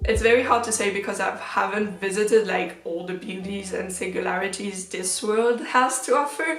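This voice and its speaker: Spoken at a moderate pace with ordinary pitch variation and a French accent, the voice comes through noticeable background noise and audible room echo. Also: woman. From French-speaking Switzerland. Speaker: K-pop fan vlogger. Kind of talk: casual Q&A vlog.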